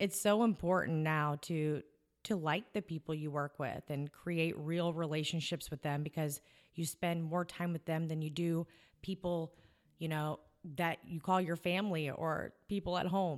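On a very clean recording with a silent background, a woman with a fairly low pitch speaks in fairly even intonation. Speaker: podcast host. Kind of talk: casual interview chat.

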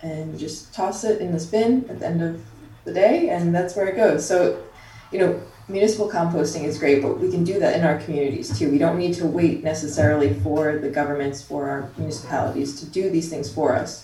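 Her voice sits fairly low for a woman, with ordinary pitch variation and a fairly quick pace. Audible room echo and noticeable background noise are present. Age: 20s. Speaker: science writer and activist. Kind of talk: interview.

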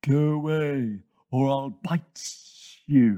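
A man's put-on character voice, fairly high in pitch and hissing. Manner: hissing, threatening.

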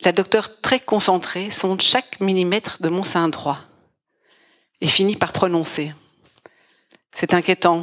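Speech moves at a very slow pace with long, frequent pauses and fairly even intonation. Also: woman. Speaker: storyteller. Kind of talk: scripted narration.

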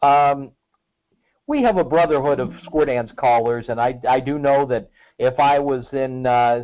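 A plain, everyday voice from a man, medium in pitch, fairly slow, with fairly even intonation. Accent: American. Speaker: podcast host. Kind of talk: casual interview. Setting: phone or video call.

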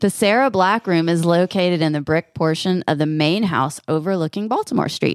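A woman's normal speaking voice, fairly low-pitched and fairly quick, with hardly any pauses, ordinary pitch variation, very even loudness, and a dry, close sound with no echo. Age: 40s. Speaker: podcast co-host. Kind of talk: casual chat.

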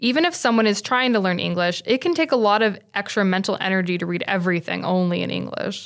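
A woman talks very fast in a medium pitch. Her pitch varies in an ordinary way. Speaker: podcast host, library media specialist. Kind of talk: interview podcast.

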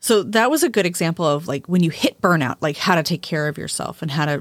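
In a very clean recording with a silent background, a woman talks at a fairly quick pace in an ordinary speaking voice, her pitch fairly low and its variation ordinary, the sound dry and close with no echo. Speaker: witchcraft podcast host and author. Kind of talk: casual conversational podcast discussion.

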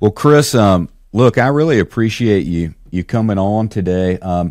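With a dark, mellow tone, a man speaks at a fairly low pitch with lively intonation. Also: quiet background. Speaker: podcast host. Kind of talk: casual interview chat.

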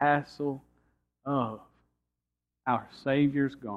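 With a Georgia accent, a man talks at a very slow pace and a fairly high pitch. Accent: Southern American (Georgia). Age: 30s. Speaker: pastor. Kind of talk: sermon. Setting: church.

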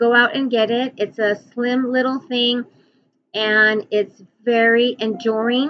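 With music in the background, a woman speaks in a high pitch and fairly even intonation. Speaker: podcast host and author, former caregiver. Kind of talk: casual monologue. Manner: halting, with many fillers.

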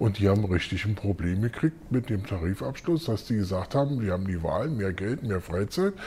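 With a dark, mellow tone and a somewhat breathy voice, a man talks at a moderate pace with very wide pitch swings. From West Berlin, Neukölln. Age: 50s. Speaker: school caretaker and works council member. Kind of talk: interview. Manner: hesitant, many fillers.

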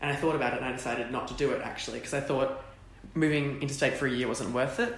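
A man talking very fast in a fairly high voice, with noticeable background noise and audible room echo. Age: young. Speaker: drama student. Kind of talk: casual interview.

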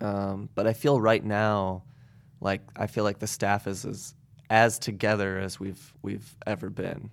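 In a very clean recording with a silent background, a man with a US Midwestern accent speaks at a fairly slow pace and fairly low pitch. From Indiana, US Midwest (Goshen). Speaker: house concert organizer. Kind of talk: casual interview chat.

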